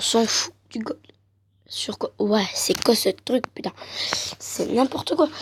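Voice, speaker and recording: A woman whispers at a very slow pace with long, frequent pauses, the sound dry and close with no echo. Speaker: gaming youtuber. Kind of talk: gameplay commentary.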